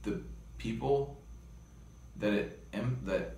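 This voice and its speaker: A man talks at a fairly slow pace. Light background noise and audible room echo are present. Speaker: interviewee. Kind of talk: interview answer. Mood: reflective, earnest. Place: home room. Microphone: phone near.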